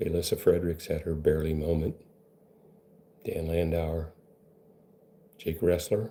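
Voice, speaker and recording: A man speaks at a moderate pace in a very deep, low pitch, somewhat breathy, with a dark, mellow tone. His intonation is monotone and flat, broken by long, frequent pauses. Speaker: benzo recovery coach. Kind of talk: monologue to camera. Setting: live video stream. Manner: casual, rambling delivery.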